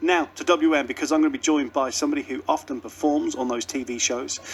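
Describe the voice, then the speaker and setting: A man talks. Noticeable noise runs behind him. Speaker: radio presenter. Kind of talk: radio presenting.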